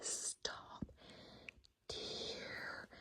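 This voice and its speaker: A woman is speaking. She whispers. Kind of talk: ASMR makeup tips talk to camera. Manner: whispered, soft, sleepy.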